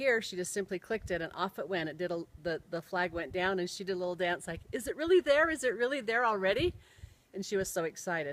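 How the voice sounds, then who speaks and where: In an unremarkable speaking voice, a woman with an American accent talks at a fairly quick pace, her medium pitch carried by lively intonation. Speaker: storyteller. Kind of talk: personal storytelling.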